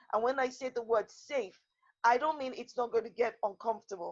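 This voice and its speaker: A woman talks quietly in a high voice. Her tone is passionate. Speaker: lawyer and women's rights activist. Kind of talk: panel discussion. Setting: video call. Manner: passionate, emphatic; loud, never quiet.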